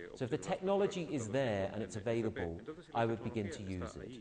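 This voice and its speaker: A man with a fairly low pitch talks at a fairly quick pace amid noticeable background noise and audible room echo. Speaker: conference speaker. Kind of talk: conference Q&A answer. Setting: conference hall with audience.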